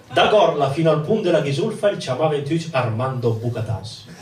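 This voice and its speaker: Over noticeable background noise, a man with a Milanese accent speaks at a moderate pace in a fairly high voice with lively intonation. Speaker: stage performer. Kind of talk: rhymed dialect monologue.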